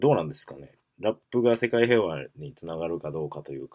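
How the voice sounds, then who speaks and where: A man with a medium-pitched voice and vocal fry talks at a fairly quick pace, his pitch swinging very widely. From Kansai, Japan. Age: 20s. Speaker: podcast host. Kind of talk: casual solo talk. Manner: halting, many fillers.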